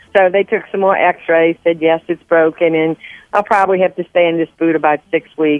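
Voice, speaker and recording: A woman speaks with a Southern US accent at a fairly low pitch. Her intonation is flat and monotone. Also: moderate pace. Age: old. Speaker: host's mother. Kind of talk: casual chat. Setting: phone call.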